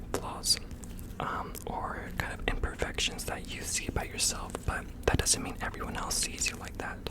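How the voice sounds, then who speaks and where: Whispering amid noticeable background noise. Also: moderate pace. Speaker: ASMR creator. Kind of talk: ASMR positive affirmations. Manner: whispered.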